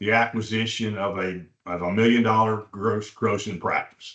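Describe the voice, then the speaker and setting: A man speaks at a medium pitch. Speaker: veterinary practice broker presenting a webinar. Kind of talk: webinar presentation. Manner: fast; halting, many fillers and repeats.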